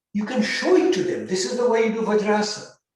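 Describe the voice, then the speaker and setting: There is audible room echo as the voice moves at a fairly quick pace with ordinary pitch variation. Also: man. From India, Bengal. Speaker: physician and yoga therapy teacher. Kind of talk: lecture with Q&A.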